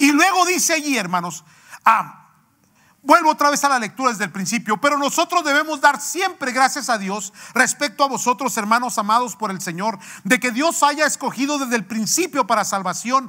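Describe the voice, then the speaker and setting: Over a quiet background, a man with an extremely high pitch and a bright, sharp tone uses a raised, projected voice at a moderate pace. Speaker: pastor. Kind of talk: sermon. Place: church.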